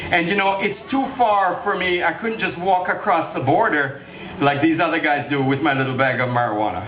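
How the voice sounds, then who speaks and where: An animated man with a high pitch and very wide pitch swings, talking fairly quickly amid noticeable background noise and audible room echo. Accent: Jamaican. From Jamaica. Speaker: political candidate. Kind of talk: campaign speech. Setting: political rally.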